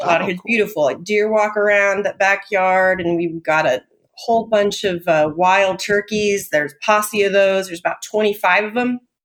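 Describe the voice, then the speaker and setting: A woman of medium pitch with a Californian accent, at a moderate pace, with fairly even intonation and hardly any pauses. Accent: General American (Californian). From Southern California (Tehachapi). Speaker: novelist. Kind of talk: casual interview chat.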